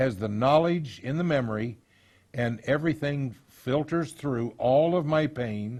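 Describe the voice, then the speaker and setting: A man with a plain, everyday voice speaks at a fairly slow pace with ordinary pitch variation over a quiet background. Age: 60s. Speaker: counselor on abuse recovery. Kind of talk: lecture.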